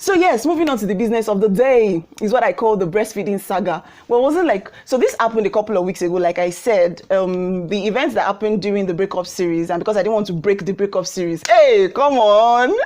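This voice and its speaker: Animated in tone, a woman talks at a very fast pace with hardly any pauses, at medium pitch and with ordinary pitch variation. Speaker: YouTube vlogger. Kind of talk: casual vlog monologue.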